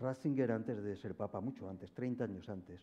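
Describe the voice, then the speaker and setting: Fairly quick speech from a man, dark and mellow in tone, with ordinary pitch variation. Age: 70s. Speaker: philosopher. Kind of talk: public forum conversation.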